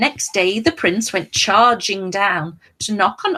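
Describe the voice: Lively intonation over plain reading aloud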